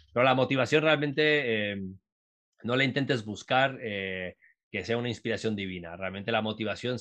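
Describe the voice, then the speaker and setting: Here is a man with an ordinary speaking voice at a medium pitch. He talks at a fairly quick pace with ordinary pitch variation. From Uruguay, raised in Latin America. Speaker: entrepreneur and startup mentor. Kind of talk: casual interview.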